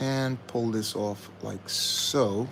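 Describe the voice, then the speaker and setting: Soft-spoken, a man talks in a medium pitch. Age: adult. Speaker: LEGO building streamer. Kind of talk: live stream building commentary. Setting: live stream. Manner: speaking softly.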